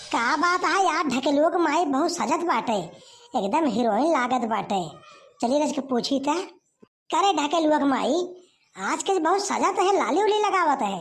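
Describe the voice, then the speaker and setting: High-pitched and cartoonish, this character voice moves at a moderate pace. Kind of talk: Awadhi village comedy.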